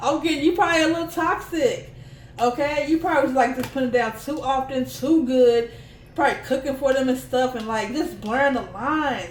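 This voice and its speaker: A woman's high pitch with ordinary pitch variation at a fairly quick pace, amid noticeable background noise and audible room echo. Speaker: tarot reader. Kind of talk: tarot reading to camera. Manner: fast; animated.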